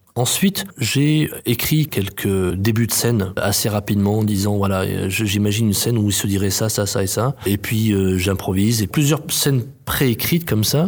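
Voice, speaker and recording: An unremarkable speaking voice holds a moderate pace with hardly any pauses. Its loudness stays very even, and its pitch varies in an ordinary way. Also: man, fairly low pitch for a man. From France, Chartreuse near Grenoble. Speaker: playwright and theatre director. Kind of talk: interview.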